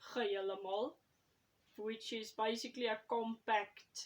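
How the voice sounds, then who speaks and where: Very slow, fairly high-pitched speech from a woman in a South African accent, with fairly even intonation. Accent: Afrikaans-accented English. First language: Afrikaans. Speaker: YouTuber and writer. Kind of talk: casual vlog talk. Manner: hesitant, with fillers.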